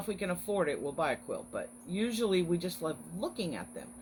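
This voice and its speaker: Pitch swings very widely in this voice, which has a somewhat breathy quality. The pace stays moderate. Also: woman. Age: 50s. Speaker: online craft business owner hosting weekly encouragement live stream. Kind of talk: casual live stream chat. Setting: Facebook live video. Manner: chatty, friendly.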